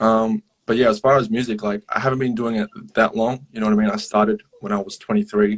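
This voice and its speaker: Speaking at a very fast pace with an Australian accent, a man keeps a medium pitch and monotone, flat intonation, yet leaves long, frequent pauses. The sound is dry and close, with no echo. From Australia, Melbourne. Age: 20s. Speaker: hip hop artist. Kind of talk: casual interview. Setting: live social media stream. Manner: hesitant, many fillers.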